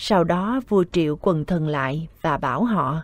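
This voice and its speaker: Woman with a Southern Vietnamese accent, fairly low pitch, and lively intonation. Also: very clean recording, silent background. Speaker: scripture reader. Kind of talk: Buddhist scripture reading.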